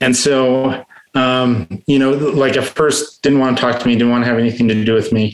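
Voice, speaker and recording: This man speaks with an American accent at a moderate pace. His loudness stays very even and his intonation fairly even. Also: medium pitch for a man. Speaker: recovering addict sharing story. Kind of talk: testimony. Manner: halting.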